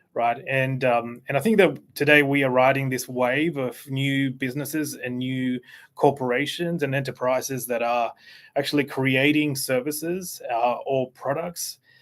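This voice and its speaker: Speaking at a medium pitch with fairly even intonation, a man has an Australian accent. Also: moderate pace. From Australia (Canberra), born in Chile. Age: 40s. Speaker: CEO of a digital marketing agency. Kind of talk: interview. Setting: YouTube live stream.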